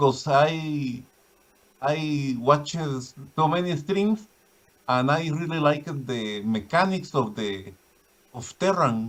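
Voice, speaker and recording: Speaking at a very slow pace, a man with a Spanish accent uses lively intonation at a fairly high pitch. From Guatemala. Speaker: caller, viewer of the stream. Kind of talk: casual chat. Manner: halting.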